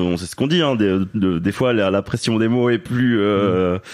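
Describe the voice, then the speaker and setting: Over noticeable background noise, a man with a fairly low pitch talks at a fairly slow pace with ordinary pitch variation. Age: 30s. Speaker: father sharing his story. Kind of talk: interview testimony. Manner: halting, many fillers.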